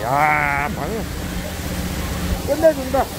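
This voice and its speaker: A man talks at a very slow pace in a dry sound with no echo. Background noise is noticeable. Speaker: fish seller / live-stream seafood vendor. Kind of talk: casual talk to camera, market sales pitch. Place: waterside. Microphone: phone near.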